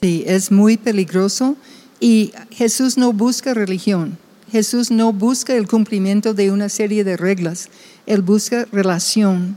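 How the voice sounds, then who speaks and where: A woman talks at a very slow pace and medium pitch in a dark, mellow tone. Her intonation is fairly even and her loudness very even. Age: 70s. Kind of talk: casual chat.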